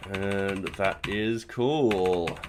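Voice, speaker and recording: Ordinary pitch variation from a man, with noticeable noise behind. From Australia. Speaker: programming streamer. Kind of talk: live coding stream. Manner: casual, rambling with fillers.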